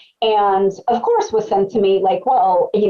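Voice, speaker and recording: Noticeable background noise behind a female voice whose pitch swings very widely. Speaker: psychotherapist. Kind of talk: webcast presentation. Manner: fast.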